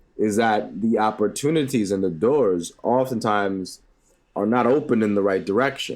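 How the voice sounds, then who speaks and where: A man with a fairly low voice speaks at a moderate pace. His loudness stays very even, and his pitch varies in an ordinary way. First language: Spanish (bilingual with English). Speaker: educator. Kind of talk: interview.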